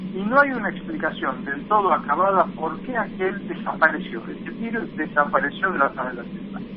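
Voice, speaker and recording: Over noticeable background noise, a man speaks at a moderate pace with a high pitch and ordinary pitch variation. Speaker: infectious disease doctor. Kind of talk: phone interview.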